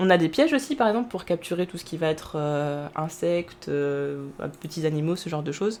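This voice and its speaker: Her pitch swings up and down across a very wide range as this woman talks. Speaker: streamer. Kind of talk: live gameplay commentary. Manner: fast; halting, many fillers.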